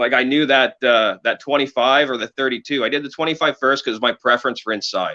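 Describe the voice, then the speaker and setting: At a fairly quick pace, a man with a Canadian accent speaks at medium pitch with ordinary pitch variation. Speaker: cannabis breeder. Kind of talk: casual interview chat. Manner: halting, searching for words.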